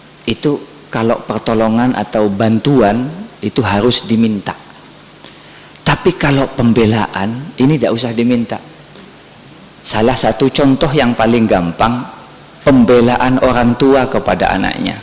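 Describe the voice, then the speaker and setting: With a Madurese accent, a man speaks at a fairly slow pace and medium pitch, his pitch varying in an ordinary way, pausing long and often over noticeable background noise. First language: Madurese (speaking Indonesian). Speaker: Islamic preacher. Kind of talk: sermon.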